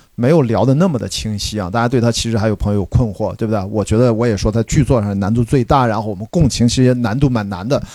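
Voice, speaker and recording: This man has a medium pitch, ordinary pitch variation and a dark, mellow tone. He talks at a very fast pace with hardly any pauses, on a very clean recording with a silent background. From China, Qingdao. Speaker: podcast host. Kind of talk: live post-screening discussion. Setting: cinema with live audience.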